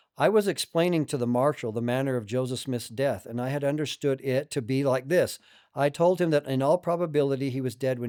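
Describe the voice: The speaker is doing plain reading aloud with ordinary pitch variation.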